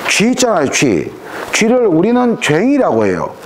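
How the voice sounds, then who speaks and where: A man talks at a moderate pace in a room with audible echo and noticeable background noise. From Korea, Jeju Island (east side). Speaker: professor. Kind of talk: lecture. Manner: animated.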